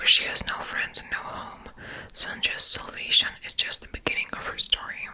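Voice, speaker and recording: Over noticeable background noise, a woman whispers. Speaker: ASMR content creator. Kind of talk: reading a book blurb aloud. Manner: whispered, soft-spoken.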